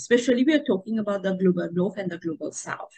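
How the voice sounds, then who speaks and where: The woman's voice is somewhat breathy. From Mauritius. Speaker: tourism professor, association vice president. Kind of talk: interview. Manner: hesitant with fillers.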